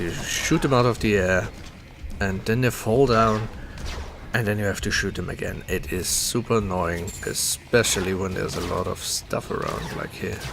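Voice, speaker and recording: A man speaks at a moderate pace in a fairly low pitch, with ordinary pitch variation and music playing in the background. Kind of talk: casual gameplay commentary. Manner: soft-spoken.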